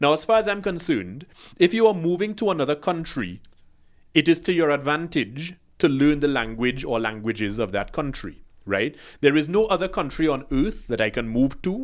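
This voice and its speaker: An animated man's voice, fairly high in pitch, with very wide pitch swings over a quiet background. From Trinidad. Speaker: podcast co-host. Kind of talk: casual chat.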